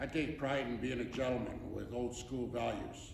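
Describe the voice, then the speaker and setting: In a room with audible echo and noticeable background noise, a man talks at a moderate pace in a medium-pitched, monotone, flat voice. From western Canada (Prince George, British Columbia). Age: 60s. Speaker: council candidate, retired trucker. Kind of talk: prepared campaign speech. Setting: stage with audience in a theatre.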